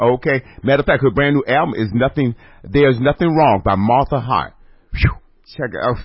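Slightly breathy male speech, its pitch moving in an ordinary way. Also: medium pitch for a man. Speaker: radio host. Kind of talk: casual chat.

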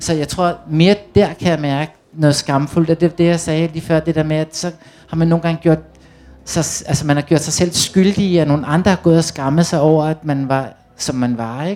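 A man speaks at a moderate pace and a fairly high pitch, with fairly even intonation. He has a plain, everyday voice. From Copenhagen (Amager), Denmark. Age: 40s. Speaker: author of youth books. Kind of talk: panel discussion. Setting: tent stage with audience.

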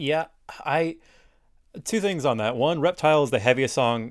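A man talks in an unremarkable speaking voice at a moderate pace. His pitch varies in an ordinary way. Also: very clean recording, silent background. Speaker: podcast host. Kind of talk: casual interview chat.

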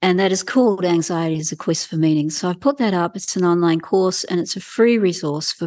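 Against a quiet background, a woman speaks in a fairly low voice with a New Zealand accent. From New Zealand, rural farming family. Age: 60s. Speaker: wellbeing coach and Chinese medicine practitioner. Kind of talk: interview conversation. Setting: in her clinic.

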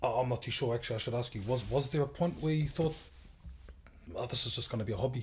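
This man's speech races along very fast, somewhat breathy, with normal rises and falls in pitch. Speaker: podcast host. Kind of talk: casual interview chat. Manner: casual, relaxed.

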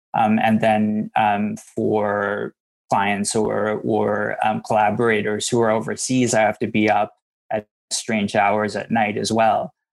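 Speaking very slowly in a fairly low, monotone, flat voice, a man with a Canadian accent is heard in a dry, close recording with no echo. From Vancouver, Canada. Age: 40s. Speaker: interaction design educator and speaker. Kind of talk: interview. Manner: halting, many fillers.

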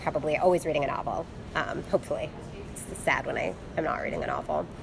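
Someone talks very fast. There is noticeable noise behind the voice. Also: woman. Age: 30s. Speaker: poet and English lecturer. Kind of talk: interview.

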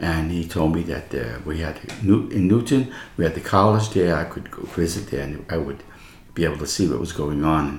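A man speaks at a moderate pace in a very deep, low voice with ordinary pitch variation over noticeable background noise. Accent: American. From New York City. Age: 80s+. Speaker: religious brother. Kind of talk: casual chat. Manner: animated.

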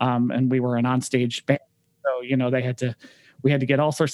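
A man with a Midwestern US accent talks fairly quickly at a medium pitch, his intonation monotone and flat. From Michigan, Detroit area. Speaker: music director and pianist. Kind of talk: casual interview.

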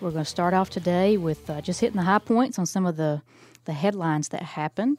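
Music plays in the background as a woman talks at a fairly quick pace. Her pitch is fairly low, with ordinary variation. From Alabama. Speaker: political podcast co-host. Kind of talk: casual chat.

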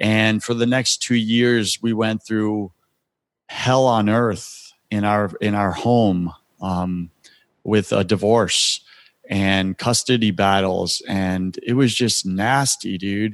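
Very slowly, a man speaks with a fairly low pitch and fairly even intonation. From US Northeast, Long Island, New York. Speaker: spiritual coach and podcast host. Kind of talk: interview, personal testimony.

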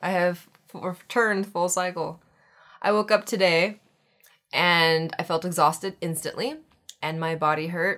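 In a very clean recording with a silent background, a woman with a fairly low pitch and a bright, sharp tone speaks at a moderate pace, her pitch varying in an ordinary way and her speech broken by long, frequent pauses. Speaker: podcast co-host. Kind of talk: casual chat. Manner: brighter than usual from caffeine.

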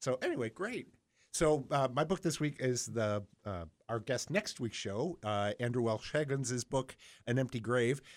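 A man with an unremarkable speaking voice talks at a moderate pace and medium pitch, with lively intonation. The recording is very clean, with a silent background. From Buffalo, New York. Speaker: library radio show host. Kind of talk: casual radio chat and book talk. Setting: radio studio.

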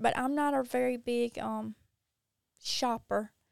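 A woman with a strong Mississippi accent speaks in a very clean recording with a silent background. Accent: strong Southern US (Mississippi). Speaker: social media creator. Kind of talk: casual interview chat.

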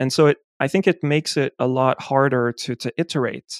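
A French accent at a moderate pace, with ordinary pitch variation and a dry, close sound with no echo. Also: man. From France. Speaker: geospatial data scientist and podcaster. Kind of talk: casual interview chat.

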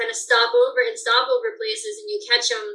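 In an American accent, a woman uses a raised, projected voice at an extremely high pitch, bright and sharp in tone, moving fairly quickly with very wide pitch swings. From Colorado mountains. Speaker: bird banding researcher. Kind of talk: interview.

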